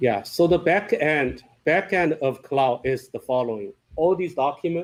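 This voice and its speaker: A man with a non-native accent speaks at a fairly slow pace. His pitch varies in an ordinary way. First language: not English. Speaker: software company founder presenting product. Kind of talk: product presentation with Q&A. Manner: halting, repeats words.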